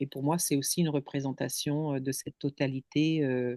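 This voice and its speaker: A woman with a non-native accent has a very deep, low pitch and a dark, mellow tone, heard in a dry, close sound with no echo. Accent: foreign accent in French. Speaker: contemplation guide. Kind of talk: casual chat. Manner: halting.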